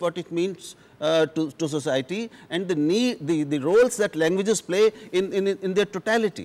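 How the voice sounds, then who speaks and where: A man speaks at a moderate pace in a high voice, with an Indian accent and lively intonation. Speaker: journalist. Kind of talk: televised panel debate. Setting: studio. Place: studio. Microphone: lapel.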